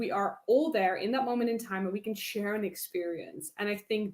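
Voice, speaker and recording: Speaking at a fairly quick pace, a woman with a Dutch accent uses lively intonation. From Netherlands. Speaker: public speaking coach. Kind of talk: interview. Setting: live stream. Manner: animated.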